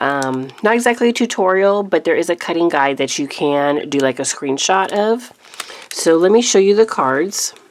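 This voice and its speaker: The speech moves at a moderate pace while noticeable noise runs underneath. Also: woman, fairly low pitch for a woman. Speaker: card-making crafter. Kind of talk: craft tutorial. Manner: casual with many fillers.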